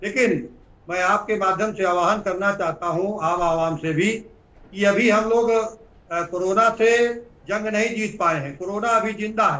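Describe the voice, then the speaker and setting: The man speaks in a high pitch with ordinary pitch variation. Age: 60s. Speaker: politician. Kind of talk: interview. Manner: halting.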